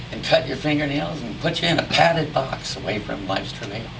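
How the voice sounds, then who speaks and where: Noticeable background noise is present. The talking proceeds at a moderate speed. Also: man. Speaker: cowboy poetry performer. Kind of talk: poetry reading.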